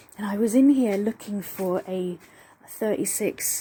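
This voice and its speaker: A woman talks quietly at a fairly slow pace. Her tone is dark and mellow, and somewhat breathy. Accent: English. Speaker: amateur car mechanic vlogger. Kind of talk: DIY video narration. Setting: garage.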